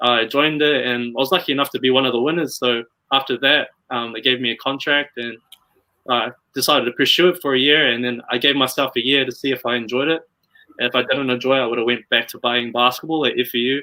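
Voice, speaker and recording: With a slight New Zealand accent, a man speaks very fast at a medium pitch, keeping his intonation fairly even. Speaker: model and pageant contestant. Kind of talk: interview. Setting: live video stream.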